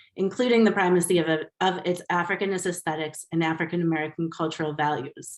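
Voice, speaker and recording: The speaker talks at a very fast pace with fairly even intonation. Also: woman, fairly low pitch for a woman. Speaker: professor. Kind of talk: lecture.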